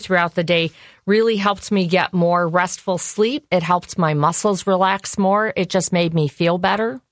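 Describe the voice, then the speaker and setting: With an Upper Midwest accent, a woman talks at a moderate pace and a fairly low pitch with fairly even intonation, the sound dry and close with no echo. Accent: Upper Midwest American. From US Midwest. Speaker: nutrition educator. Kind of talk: personal testimony interview. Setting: studio.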